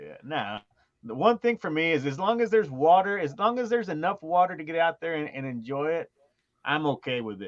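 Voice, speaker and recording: Recorded dry and close with no echo, a man talks fairly quickly at a fairly high pitch, with very wide pitch swings and big shifts in loudness. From New Mexico. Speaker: fishing guide. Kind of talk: casual chat.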